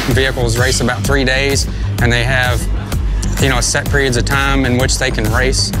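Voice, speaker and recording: Clear music plays in the background. A man speaks with a dry sound and no echo. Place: stadium.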